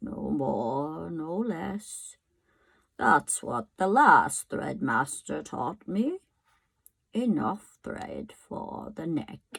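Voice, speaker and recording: Putting on a character voice, a woman speaks very slowly in a raspy, very deep, low pitch. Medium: read story. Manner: polite, apologetic.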